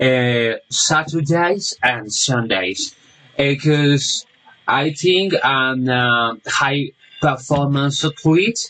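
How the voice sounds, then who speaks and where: Speaking at a very slow pace with a Spanish accent, a man with a fairly high pitch uses lively intonation in a bright, sharp tone at very even loudness. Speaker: language student. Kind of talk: class assignment monologue. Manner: halting, many fillers.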